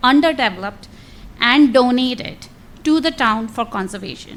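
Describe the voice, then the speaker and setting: Noticeable background noise behind a woman's fairly high-pitched voice, moderately paced, with ordinary pitch variation. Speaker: resident at public meeting. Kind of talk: public comment, partly read from notes. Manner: loud.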